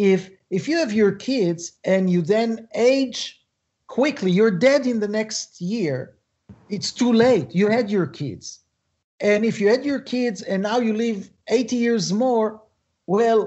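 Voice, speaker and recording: A man with a high pitch speaks at a very slow pace with ordinary pitch variation, the background quiet. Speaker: guest. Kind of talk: interview answer. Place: home room. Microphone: video call.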